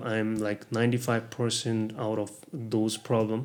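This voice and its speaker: In a Nepali accent, a man of medium pitch speaks at a fairly slow pace. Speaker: vlogger sharing health experience. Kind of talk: casual vlog talk. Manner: halting, many fillers.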